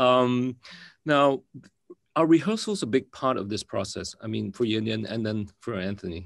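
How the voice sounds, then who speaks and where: Against a quiet background, a man with a Singaporean accent speaks at a moderate pace and medium pitch, with ordinary pitch variation. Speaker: actor moderating a film Q&A. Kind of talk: panel interview. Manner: halting, many fillers.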